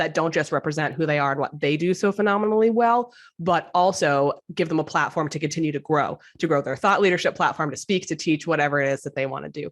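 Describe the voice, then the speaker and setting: A very fast, animated woman's voice, very deep and low in pitch, with ordinary pitch variation over a quiet background. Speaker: brand strategist. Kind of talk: interview.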